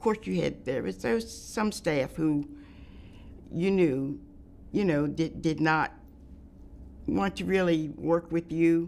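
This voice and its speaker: Speaking in an American accent at a very slow pace, a woman with a very deep, low pitch uses lively intonation, big swings in loudness, and long, frequent pauses. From US Northeast, Pennsylvania. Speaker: retired nurse. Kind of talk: oral history interview.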